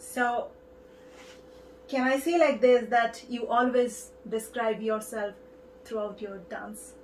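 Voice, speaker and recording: Speaking very slowly with long, frequent pauses, a woman with an Indian accent uses a high pitch and fairly even intonation, her loudness swinging widely over noticeable background noise. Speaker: TV show host. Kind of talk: interview.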